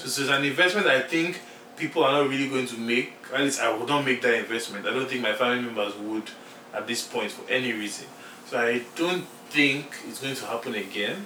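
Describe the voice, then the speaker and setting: A man with a Nigerian accent at a fairly quick pace with ordinary pitch variation, amid noticeable background noise. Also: medium pitch for a man. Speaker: podcast co-host. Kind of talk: casual chat. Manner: animated.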